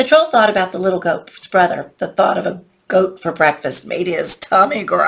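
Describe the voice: Plain reading aloud delivered with lively intonation.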